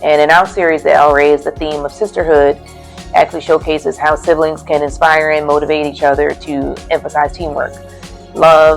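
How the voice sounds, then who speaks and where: The pace of speech is moderate. Behind it, music plays. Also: woman. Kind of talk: interview answer.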